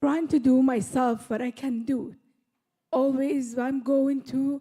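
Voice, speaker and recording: With a non-native accent, a woman speaks at a very slow pace and with fairly even intonation. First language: not English. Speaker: audience member. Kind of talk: audience question. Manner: halting.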